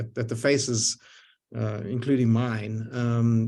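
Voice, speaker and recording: With a Zimbabwean accent, a man talks at a medium pitch. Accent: foreign accent, Zimbabwean. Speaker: lifetime synagogue member, community leader. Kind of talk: panel discussion on video call. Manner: halting, many repetitions and fillers.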